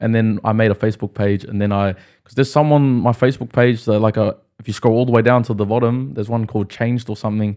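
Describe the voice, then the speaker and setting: A very fast pace in a very clean recording with a silent background. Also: man. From Australia (Brisbane) with New Zealand ties. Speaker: rapper. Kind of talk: casual podcast interview. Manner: animated.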